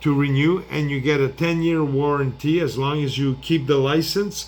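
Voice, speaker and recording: Here a man talks at a fairly high pitch and a fairly slow pace. His intonation stays fairly even. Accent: French. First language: French. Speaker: product seller. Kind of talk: product demo. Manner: halting.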